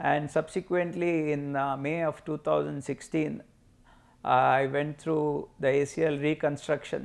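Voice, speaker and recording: A man at a very slow pace, fairly even in intonation, against a quiet background. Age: 60s. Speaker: patient, amateur badminton player. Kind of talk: testimony. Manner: halting, many fillers.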